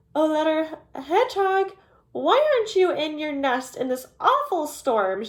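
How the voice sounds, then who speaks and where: Speaking fairly slowly, a woman uses a put-on, squeaky character voice. Her pitch sits extremely high and swings very widely. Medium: read story. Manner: gentle, motherly.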